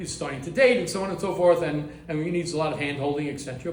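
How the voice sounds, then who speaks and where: With an American accent, a man talks in a high voice with ordinary pitch variation, amid audible room echo and noticeable background noise. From US, Baltimore. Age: 60s. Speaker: rabbi, head of a yeshiva. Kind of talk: lecture. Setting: class in a private home. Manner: halting, frequent repetitions.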